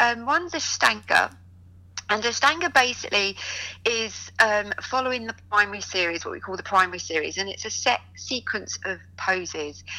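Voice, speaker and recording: A woman with a bright, sharp tone and vocal fry speaks at medium pitch and a moderate pace. Her intonation is lively, with big swings in loudness. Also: very clean recording, silent background. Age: 40s. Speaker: yoga teacher. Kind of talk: interview.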